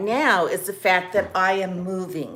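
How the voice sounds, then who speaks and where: A woman talks, her pitch sitting in the medium range. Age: 60s. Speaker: lifestyle vlogger. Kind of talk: casual chat. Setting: at home, live video. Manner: halting.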